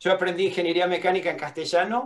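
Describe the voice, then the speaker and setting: Here a man talks at a very fast pace. His pitch is high and his intonation fairly even. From Argentina. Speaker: welding engineering professor. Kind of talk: lecture. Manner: halting, with many fillers and repetitions.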